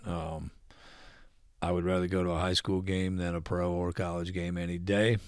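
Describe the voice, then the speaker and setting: A man with a Midwestern US accent speaks at a fairly slow pace in a very deep, low pitch. The recording is very clean, with a silent background. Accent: US Midwest. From Ohio (Lima). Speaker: retired father of host. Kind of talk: casual chat. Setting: at home. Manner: halting.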